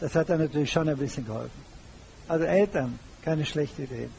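A man with a fairly high-pitched voice. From Germany. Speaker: retired banker and public speaker. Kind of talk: lecture.

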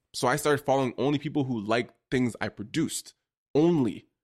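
A man with a Toronto accent talks at a fairly high pitch on a very clean recording with a silent background. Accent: Toronto Canadian English. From Toronto, Canada. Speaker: photographer and content creator. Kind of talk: casual interview.

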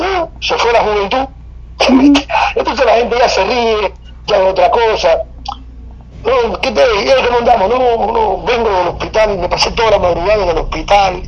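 A man with a high voice, ordinary pitch variation and long, frequent pauses, in a room with audible echo and noticeable background noise. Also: moderate pace. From Cuba. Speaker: oral storyteller and artist. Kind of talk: casual interview.

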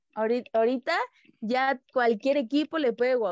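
Recorded in a dry, close sound with no echo, a woman speaks at a moderate pace with ordinary pitch variation. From Mexico, Tabasco. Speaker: professional footballer. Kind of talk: casual interview. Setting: call.

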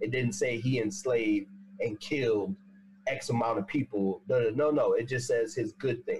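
A somewhat breathy man at a medium pitch, with lively intonation, very even loudness and a moderate pace. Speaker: panelist. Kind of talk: casual chat. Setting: video call.

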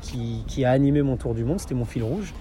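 A man is speaking. His pace is very fast. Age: 30s. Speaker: adventure photographer and dog-sled guide. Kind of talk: interview. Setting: in person. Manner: halting, with frequent repetitions and fillers.

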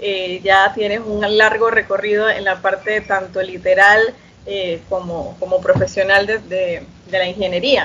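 A woman speaks at a fairly slow pace and a medium pitch. Her intonation is monotone and flat, with noticeable background noise. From Panama, Chiriquí. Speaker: podcast host. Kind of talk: interview.

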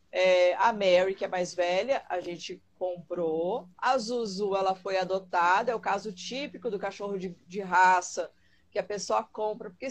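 A woman's medium-pitched voice at a fairly slow pace, with hardly any pauses. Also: ordinary pitch variation. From Rio Grande do Sul, Brazil. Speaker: dog trainer. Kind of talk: live-stream interview.

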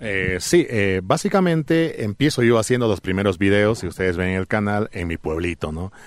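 Recorded very cleanly with a silent background, a man with an unremarkable speaking voice and a fairly low pitch talks at a moderate pace with lively intonation and hardly any pauses. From Bolivia, Alto Beni (La Paz department lowlands). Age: 40s. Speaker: travel content creator. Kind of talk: interview. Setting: studio.

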